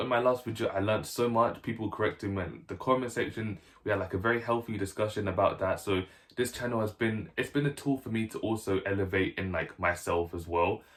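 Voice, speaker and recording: On a very clean recording with a silent background, a somewhat breathy man talks at a very fast pace in a medium pitch with ordinary pitch variation. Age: 20s. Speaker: YouTuber. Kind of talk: casual vlog talk to camera. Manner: casual, filler-heavy.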